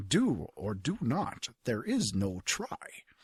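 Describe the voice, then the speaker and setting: A man puts on a character voice at a medium pitch, drawing his words out at a very slow pace. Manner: bad imitation, mock-wise.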